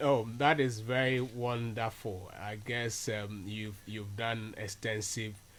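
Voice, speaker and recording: In a Ghanaian accent, a man speaks at a very slow pace. His pitch is fairly low and his intonation fairly even. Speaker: radio host. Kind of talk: radio interview. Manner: hesitant, many fillers.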